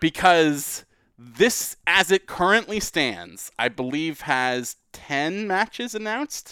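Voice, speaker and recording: A man with a high pitch speaks very slowly with lively intonation. The recording is very clean, with a silent background and a dry, close sound with no echo. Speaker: wrestling podcast host. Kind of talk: casual chat. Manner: conversational, not announcer-like.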